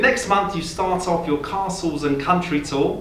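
With audible room echo and light background noise, a man speaks at a high pitch using lively intonation. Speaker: interviewer. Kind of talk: interview. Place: home room.

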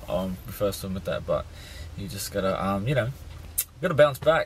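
A somewhat breathy man speaks with ordinary pitch variation, in a dry sound with no echo and light background noise. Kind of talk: casual vlog chat. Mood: disappointed, reflective. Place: car. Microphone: phone near.

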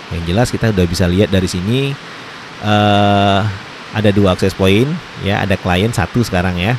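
Against noticeable background noise, a man talks at a fairly quick pace in a dry sound with no echo. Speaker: tech tutorial youtuber. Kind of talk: tutorial. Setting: indoors during heavy rain. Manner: hesitant with frequent fillers. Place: home room.

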